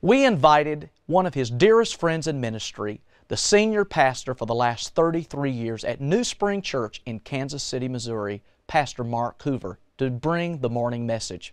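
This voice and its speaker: A man speaks at a moderate pace with very wide pitch swings. The recording is dry with no echo, and the background is quiet. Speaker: church music minister. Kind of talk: broadcast introduction. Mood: warm, upbeat. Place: studio.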